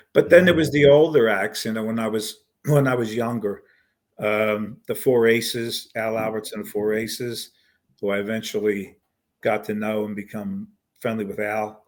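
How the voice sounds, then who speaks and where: With a Philadelphia accent, a man speaks at a moderate pace, his medium pitch showing ordinary variation. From US Northeast, Philadelphia. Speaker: singer-songwriter and pianist. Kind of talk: interview. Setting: podcast. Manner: halting.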